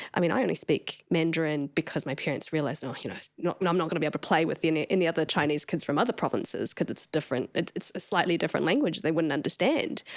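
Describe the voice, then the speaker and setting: Very fast speech in a New Zealand accent, with hardly any pauses. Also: woman, very deep, low pitch for a woman, ordinary pitch variation. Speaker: podcast host. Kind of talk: interview. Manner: loud, expressive.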